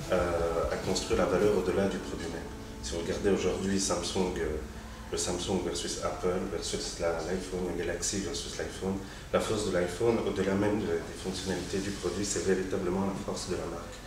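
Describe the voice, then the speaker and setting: A man's very deep, low voice with fairly even intonation, amid audible room echo and noticeable background noise. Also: moderate pace. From Tunisia. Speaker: advertising strategic planner. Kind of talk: interview. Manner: casual, hesitant with fillers.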